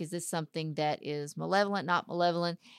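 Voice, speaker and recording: Dry and close with no echo, a woman with a Texan accent and fairly low pitch speaks at a fairly quick pace on a very clean recording with a silent background. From Texas, small town (Dayton). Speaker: paranormal investigator and model. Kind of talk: casual chat.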